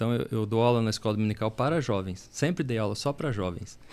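A man talks at a very fast pace in a medium pitch, with ordinary pitch variation. The recording is very clean and the background silent. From Paraná, Brazil. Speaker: church elder. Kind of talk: casual chat.

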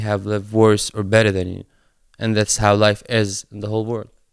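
A man talks at a fairly quick pace, his sound dry and close with no echo, on a very clean recording with a silent background. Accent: Arabic. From Palestine, West Bank. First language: Arabic. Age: 20s. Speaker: skate charity local coordinator. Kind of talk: interview.

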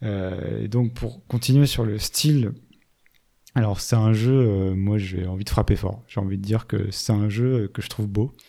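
A man's fairly low voice, dark and mellow, with fairly even intonation at a fairly slow pace, in a very clean recording with a silent background. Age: 30s. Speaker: video game podcast host. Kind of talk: casual chat.

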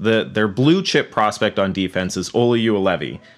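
Recorded very cleanly against a silent background, a man with a normal speaking voice talks at a fairly low pitch with ordinary pitch variation. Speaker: podcast host. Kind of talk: casual podcast interview.

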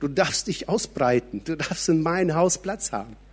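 A man's high-pitched voice at a moderate pace. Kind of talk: sermon. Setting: church. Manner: animated; conversational, direct address to audience.

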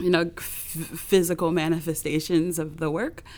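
A woman with a Californian accent speaks in a monotone, flat intonation on a very clean recording with a silent background. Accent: General American (California). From US West Coast, Los Angeles. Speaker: visual artist and performer. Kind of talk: interview.

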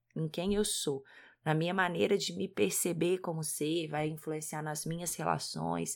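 Speaking fairly slowly with vocal fry, a woman with a Minas Gerais accent has a very deep, low pitch in a very clean recording with a silent background. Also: ordinary pitch variation. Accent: Minas Gerais (mineiro). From Brazil, Minas Gerais. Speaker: podcast co-host, parenting educator, psychologist. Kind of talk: casual podcast talk.

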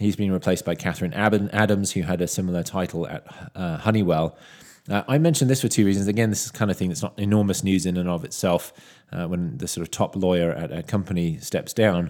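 A man with a British accent talks very fast in a very deep, low voice with ordinary pitch variation, on a very clean recording with a silent background. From UK. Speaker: tech analyst podcast host. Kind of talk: solo news commentary.

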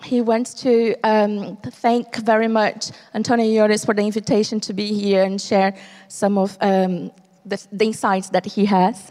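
A woman's fairly high, dark and mellow voice, very slow in pace, with monotone, flat intonation. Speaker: interpreter. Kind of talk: live interpretation. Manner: halting.

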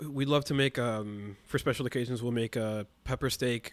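This is an ordinary speaking voice from a man at medium pitch. He keeps a moderate pace and fairly even intonation. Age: 20s. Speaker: musician and podcast editor. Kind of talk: casual interview.

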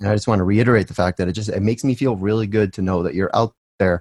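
A man with an American accent, fairly low pitch, ordinary pitch variation, and a dry, close sound with no echo. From US Northeast. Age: 40s. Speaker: podcast host. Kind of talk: casual interview.

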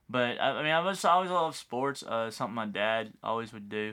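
A man talks with a Texan accent. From West Texas. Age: 30s. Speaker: high school football coach. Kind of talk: casual chat.

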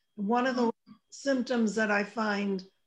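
At a fairly slow pace, an ordinary speaking voice shows ordinary pitch variation. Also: woman. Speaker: radio host. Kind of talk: casual chat.

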